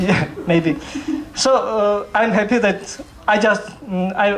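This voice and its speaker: A man speaks with a Georgian accent. There is noticeable background noise and audible room echo. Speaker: novelist. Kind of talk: literary event talk. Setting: library stage with audience. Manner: halting.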